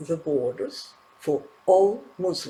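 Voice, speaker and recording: A man with a non-native accent speaks very slowly in a high voice. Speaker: political news commentator. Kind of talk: news commentary.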